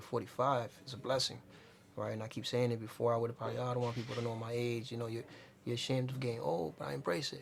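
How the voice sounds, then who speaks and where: Words rush out of this man very fast. His intonation is fairly even throughout. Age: 40s. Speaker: entrepreneur. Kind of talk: casual interview.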